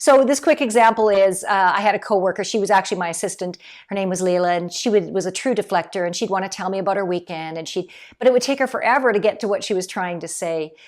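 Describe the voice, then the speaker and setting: Over a silent background in a very clean recording, a woman talks very fast. Her pitch is medium and varies in an ordinary way. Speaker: keynote speaker and leadership consultant. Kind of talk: talking-head video monologue.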